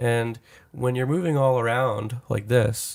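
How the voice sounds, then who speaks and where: A man with a normal speaking voice talks at a moderate pace, using medium pitch and fairly even intonation. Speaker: recording engineer and music producer. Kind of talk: casual chat.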